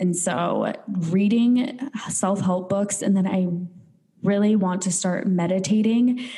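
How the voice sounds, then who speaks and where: A woman with a medium pitch speaks at a very slow pace, using ordinary pitch variation. Her loudness is very even, and audible room echo surrounds the voice. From North Dakota. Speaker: podcast co-host. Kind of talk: casual chat.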